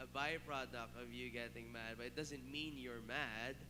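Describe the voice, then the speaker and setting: In a recording with audible room echo, a man speaks at a fairly slow pace. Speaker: youth pastor. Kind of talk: youth sermon talk. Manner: animated, tone rises when explaining; repeats filler 'all right'.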